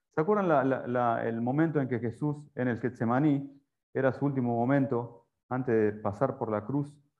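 An unremarkable speaking voice from a man, medium in pitch and moderate in speed, its pitch varying in an ordinary way. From Argentina. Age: 40s. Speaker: preacher. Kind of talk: sermon. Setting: church.

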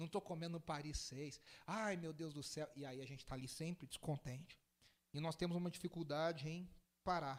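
At a moderate pace, a man talks in an ordinary speaking voice at a fairly high pitch. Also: fairly even intonation. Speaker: pastor. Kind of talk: sermon.

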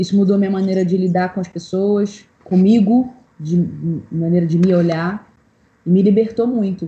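The delivery comes at a moderate pace with a somewhat breathy quality. Intonation stays fairly even throughout. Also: woman. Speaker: singer-songwriter. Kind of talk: casual chat.

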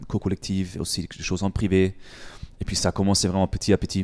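With a German accent, a man speaks at a fairly quick pace in a very deep, low pitch and a dark, mellow tone, recorded very clean against a silent background with a dry, close sound and no echo. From Germany. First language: German (speaking French). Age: 20s. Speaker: fitness coach and gym owner. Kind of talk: interview. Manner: halting.

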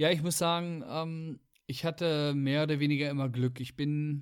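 A man with a plain, everyday voice speaks at a fairly high pitch and moderate pace with fairly even intonation, in a very clean recording with a silent background. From Weserbergland, Lower Saxony. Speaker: podcast host. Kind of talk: casual chat.

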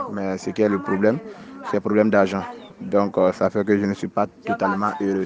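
Against noticeable background noise, a man speaks at a moderate pace in a monotone, flat intonation. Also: fairly low pitch for a man. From Ivory Coast. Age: 20s. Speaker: mason. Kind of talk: interview. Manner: halting.

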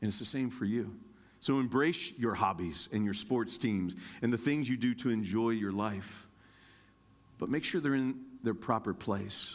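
With an American accent, a man speaks at medium pitch and a moderate pace, his loudness very even and his pitch variation ordinary, broken by long, frequent pauses. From Indiana, US Midwest. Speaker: guest preacher. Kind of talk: sermon. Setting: church.

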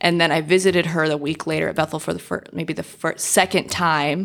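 Vocal fry runs through this voice, which carries an American accent and fairly even intonation. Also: woman. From Southern California. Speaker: marriage and family therapist. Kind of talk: casual interview chat.

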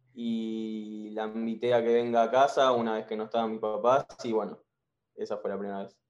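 Using monotone, flat intonation, a man talks at a moderate pace and a medium pitch. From Argentina. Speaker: caller, university student. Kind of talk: casual chat.

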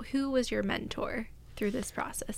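Her pitch high, a woman talks at a moderate pace. Audible room echo and noticeable background noise fill the recording. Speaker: podcast co-host. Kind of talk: casual chat. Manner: working on a stronger voice.

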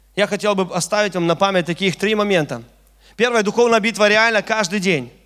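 In a very clean recording with a silent background, a man with a high pitch speaks in an animated tone at a fairly quick pace with ordinary pitch variation. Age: 30s. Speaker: preacher. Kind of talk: sermon.

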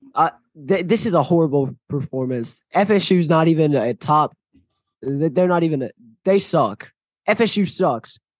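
A man with a normal speaking voice talks at fairly high pitch. The sound is dry and close with no echo, over a quiet background. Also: fairly slow pace. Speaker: sports podcast co-host. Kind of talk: casual chat.

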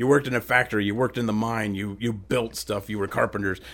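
With an American accent, a man speaks at a fairly quick pace in an ordinary speaking voice with fairly even intonation, on a very clean recording with a silent background. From central Ohio. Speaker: podcast host. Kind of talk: casual chat.

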